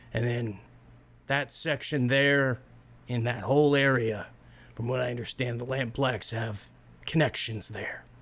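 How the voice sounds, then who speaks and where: Raspy put-on character voice from a man, medium pitch, moderate pace, fairly even intonation. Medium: actual play. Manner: rambling, hesitant, filler-heavy.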